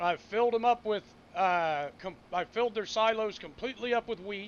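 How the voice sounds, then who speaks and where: A man speaks loudly at a moderate pace, his voice high-pitched with ordinary pitch variation. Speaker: gaming streamer. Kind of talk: casual live-stream commentary.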